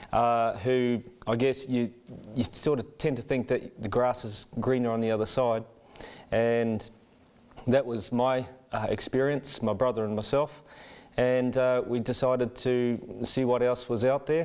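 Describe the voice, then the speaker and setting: With a New Zealand accent, a man speaks at a fairly slow pace in a medium-pitched, monotone voice with flat intonation and long, frequent pauses. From New Zealand, Rotorua. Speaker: church member sharing conversion story. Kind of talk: testimony. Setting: studio. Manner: halting.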